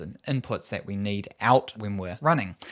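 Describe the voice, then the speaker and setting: A man with a New Zealand accent, lively intonation, moderate pace, a very clean recording with a silent background. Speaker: running coach. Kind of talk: tutorial.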